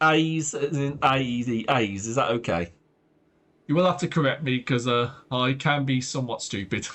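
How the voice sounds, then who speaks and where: With an English accent, a man speaks at a moderate pace in a medium pitch, using ordinary pitch variation. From Britain. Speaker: streamer. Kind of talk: live gameplay commentary. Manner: animated.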